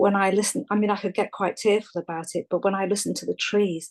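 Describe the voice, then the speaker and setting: The speaker is a woman. An English accent comes through in her speech. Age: 60s. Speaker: caller. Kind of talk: casual chat. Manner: halting.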